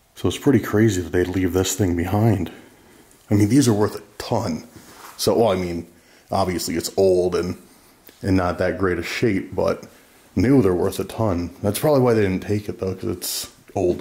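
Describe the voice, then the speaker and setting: The voice is somewhat breathy, with a dark, mellow tone and ordinary pitch variation. It moves at a moderate pace, broken by long, frequent pauses. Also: man, very deep, low pitch for a man. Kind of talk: casual exploration commentary. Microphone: phone near.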